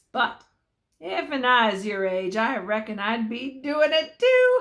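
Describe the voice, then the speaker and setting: A woman puts on a gruff character voice, fairly high in pitch. Her intonation is lively and her pace fairly slow. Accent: Western US. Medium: read story. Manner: gruff, cackling.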